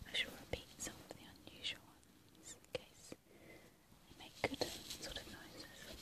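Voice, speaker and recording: Someone whispers in a calm tone at a fairly slow pace. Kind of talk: whispered poetry reading for relaxation. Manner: whispered, calm, soft.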